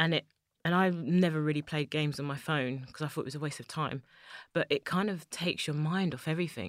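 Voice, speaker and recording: A woman with a London accent and a very deep, low pitch speaks at a fairly quick pace with fairly even intonation, recorded very cleanly against a silent background in a dry, close sound with no echo. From East London, England. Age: 30s. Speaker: chocolate maker and business founder. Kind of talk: interview.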